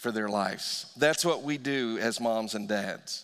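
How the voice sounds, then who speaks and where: Speaking fairly slowly with lively intonation, a man has an unremarkable speaking voice. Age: 50s. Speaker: pastor. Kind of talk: sermon. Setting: church.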